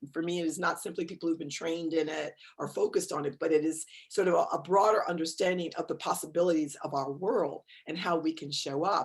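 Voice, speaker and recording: Here a woman speaks with an American accent. Her pitch is fairly low and her pace very fast. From New York, Westchester County. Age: 60s. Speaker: author and cultural geographer. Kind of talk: interview conversation. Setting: video call. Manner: animated.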